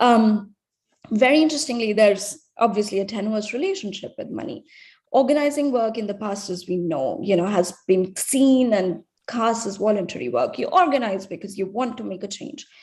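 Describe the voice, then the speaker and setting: A somewhat breathy woman speaks with a fairly high pitch and lively intonation. Her loudness swings widely against a quiet background. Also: moderate pace. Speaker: researcher presenting findings. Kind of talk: conference presentation. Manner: hesitant, many fillers.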